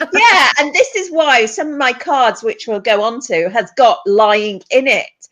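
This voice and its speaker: A woman's high voice with a British accent, very wide pitch swings and a fairly slow pace. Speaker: therapist and counsellor. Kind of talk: casual interview chat.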